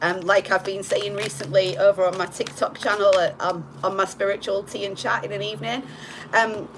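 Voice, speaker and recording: A woman speaks at a medium pitch with fairly even intonation. Noticeable background noise sits behind her. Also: fairly quick pace. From northern England, Hull, Yorkshire. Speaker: tarot reader. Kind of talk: live-streamed tarot reading. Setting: live stream. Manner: casual, with filler words.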